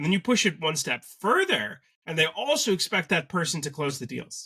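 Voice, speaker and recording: With a Canadian accent, a man talks at a moderate pace in a fairly high pitch, his intonation lively. His tone is bright and sharp, and the sound is dry and close with no echo. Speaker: sales agency co-founder. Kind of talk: business interview.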